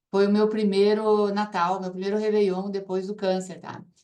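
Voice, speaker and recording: Audible room echo surrounds this woman's voice. She speaks at a medium pitch. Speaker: ozone therapy promoter and cancer survivor. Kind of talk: testimony.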